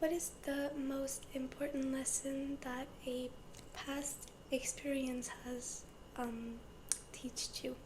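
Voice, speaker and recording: The voice is soft-spoken and whispering, at a very slow pace. Noticeable background noise is present. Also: woman. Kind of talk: ASMR interview-style personal questions to camera. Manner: soft-spoken, whispering.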